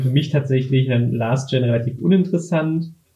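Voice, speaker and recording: A somewhat breathy man speaks at a moderate pace. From Berlin, Germany. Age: 20s. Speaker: former games video editor. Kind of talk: casual chat.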